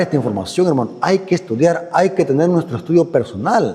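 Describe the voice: With big pitch swings, a man speaks at a moderate pace and a fairly high pitch. His voice has a husky, rough edge and a slightly mellow tone.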